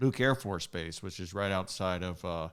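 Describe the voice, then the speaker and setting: Recorded very cleanly with a silent background, a man with a very deep, low pitch speaks at a fairly quick pace with ordinary pitch variation. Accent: American. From Arizona, Phoenix. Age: 60s. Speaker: politician. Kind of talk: interview. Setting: live stream.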